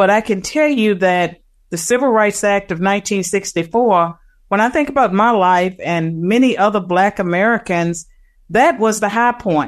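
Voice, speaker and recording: A woman with an unremarkable speaking voice talks at a medium pitch and a moderate pace. Her pitch varies in an ordinary way, and the background is quiet. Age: 60s. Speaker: political scientist. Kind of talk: interview.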